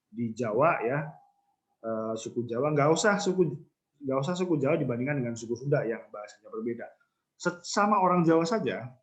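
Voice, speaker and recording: Lively intonation from a man with a fairly high pitch, with audible room echo. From Central Java, Banyumasan (ngapak) area. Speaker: university lecturer. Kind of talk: lecture. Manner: casual conversational, many fillers.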